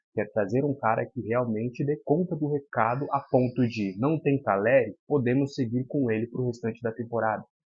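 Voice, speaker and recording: Soft-spoken, a man talks at a moderate pace. His pitch is medium, with ordinary pitch variation. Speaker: football commentator youtuber. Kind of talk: casual commentary monologue. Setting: at home. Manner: soft-spoken, talking quietly.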